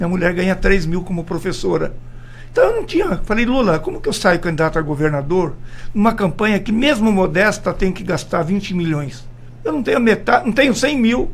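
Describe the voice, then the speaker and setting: A man's high-pitched voice with lively intonation at a fairly quick pace. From Brazil, Mato Grosso do Sul. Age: 70s. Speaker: politician. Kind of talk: radio interview. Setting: radio studio.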